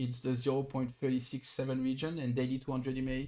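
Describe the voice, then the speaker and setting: A man at medium pitch with a French accent, moderate pace, and music in the background. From southern France. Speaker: crypto trader streamer. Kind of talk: live stream chart analysis. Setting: live stream.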